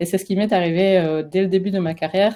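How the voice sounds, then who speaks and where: A woman speaks with a southwestern French accent in a medium pitch. Her tone is dark and mellow, with ordinary pitch variation. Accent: sing-song southwestern French. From French Basque Country. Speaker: career transition coach. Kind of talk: webinar presentation. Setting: live webinar. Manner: hesitant, many fillers.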